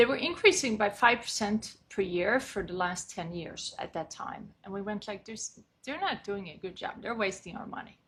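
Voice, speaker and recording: A woman's medium-pitched voice in a Swedish accent, with lively intonation and big swings in loudness. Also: moderate pace, hardly any pauses. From Sweden. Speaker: condo and co-op board consultant. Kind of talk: podcast interview.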